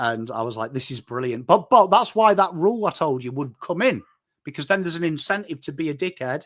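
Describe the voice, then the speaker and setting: A man with a northern English accent speaks fairly quickly at a fairly high pitch, with very wide pitch swings. The recording is very clean, with a silent background. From northern England. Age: 40s. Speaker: football content creator. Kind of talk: casual chat. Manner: animated.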